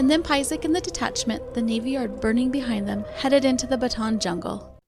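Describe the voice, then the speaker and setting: The speaker goes at a fairly quick tempo with music in the background. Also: woman. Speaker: history storyteller podcaster. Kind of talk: scripted narration.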